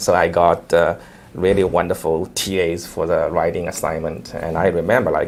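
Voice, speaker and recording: A man with a Chinese accent, very deep and low in pitch, at a moderate pace with fairly even intonation. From China. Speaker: investment manager, company founder. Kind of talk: interview. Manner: hesitant, frequent fillers.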